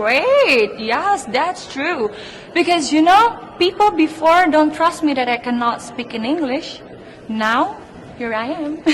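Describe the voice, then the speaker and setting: Noticeable background noise sits under a very slow voice with an Indonesian accent and very wide pitch swings. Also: woman, high pitch for a woman. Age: 20s. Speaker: beauty pageant contestant. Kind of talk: interview.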